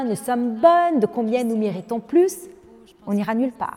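The woman's intonation is lively and her pitch high. She keeps a moderate pace. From Lebanon. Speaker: business leader and women's advocate. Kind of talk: interview.

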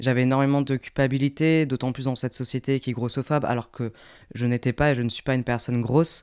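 A man speaks at medium pitch in a monotone, flat manner, recorded dry and close with no echo against a very clean, silent background. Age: 20s. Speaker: podcast co-host. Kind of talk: casual chat.

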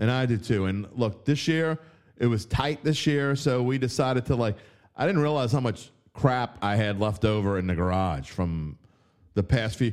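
Speaking in a New Orleans accent at a medium pitch and moderate pace, a man sounds animated with lively intonation on a very clean recording with a silent background. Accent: New Orleans Yat. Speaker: sports betting writer and podcast host. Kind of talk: casual sports talk show. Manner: animated, opinionated.

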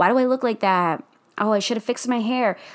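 A woman talks with an American accent on a very clean recording against a silent background. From New Jersey, US. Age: 20s. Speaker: podcast host, fitness influencer. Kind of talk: casual solo monologue. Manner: animated.

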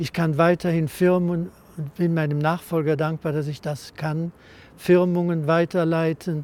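A man speaks with a high pitch in a flat monotone. His pace is fairly slow. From Cologne, western Germany. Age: 80s+. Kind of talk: interview.

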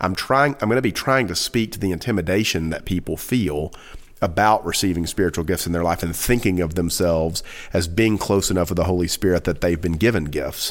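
A man talks at a fairly quick pace. His pitch is very deep and low. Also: ordinary pitch variation. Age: 40s. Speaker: pastor. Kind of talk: casual chat.

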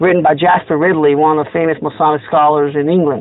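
A man speaks at a very fast pace in a fairly high voice. Noticeable background noise sits behind him. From Italy. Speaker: Freemason lodge officer. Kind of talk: interview. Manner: hesitant, many fillers.

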